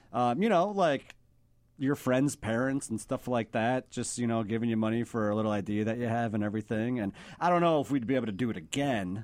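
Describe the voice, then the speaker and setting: A man with a normal speaking voice at medium pitch, ordinary pitch variation and a quiet background. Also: fairly quick pace. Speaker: filmmaker. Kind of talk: casual chat.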